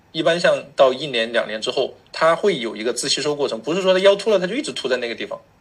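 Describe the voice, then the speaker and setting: The man's fairly high voice rushes along at a very fast pace with hardly any pauses. His pitch swings very widely. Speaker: chiropractor. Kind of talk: interview.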